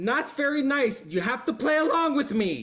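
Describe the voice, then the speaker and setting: Using a put-on character voice, a man speaks at an extremely high pitch. The shrill voice moves at a moderate pace. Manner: taunting.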